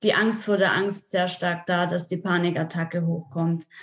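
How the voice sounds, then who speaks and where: A woman's voice in a monotone, flat intonation. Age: 20s. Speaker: nutrition and health coach. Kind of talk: casual interview.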